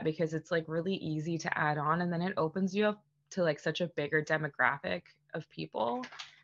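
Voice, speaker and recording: This woman has a plain, everyday voice. She speaks at a fairly quick pace with a fairly low pitch. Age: 30s. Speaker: former professional beer brewer. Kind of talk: casual interview chat.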